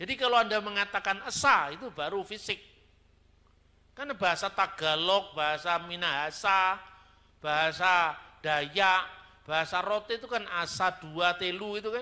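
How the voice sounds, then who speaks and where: A raised, projected voice with a bright, sharp tone speaks at a moderate pace and ordinary pitch variation. The recording is very clean, with a silent background. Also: man, high pitch for a man. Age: 50s. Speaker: theologian. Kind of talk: sermon-style teaching talk. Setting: church. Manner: conversational, colloquial.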